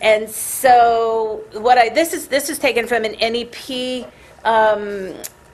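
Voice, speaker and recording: Here a woman talks at a very slow pace. Her voice sits at a fairly high pitch. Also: ordinary pitch variation. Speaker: scientist presenting research. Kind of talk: technical presentation. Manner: halting, many fillers and restarts.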